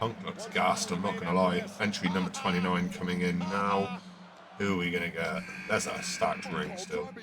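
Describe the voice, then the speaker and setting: A man at a moderate pace, with music in the background and audible room echo. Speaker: wrestling podcast co-host. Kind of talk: live commentary. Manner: loud; animated.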